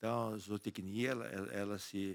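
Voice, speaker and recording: A man's voice sits fairly low and keeps a fairly even intonation. Nothing intrudes on the very clean recording, which has a silent background. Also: dry, close sound with no echo. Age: 60s. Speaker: agronomist and cattle farmer. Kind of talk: interview conversation. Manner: halting, with frequent repetitions.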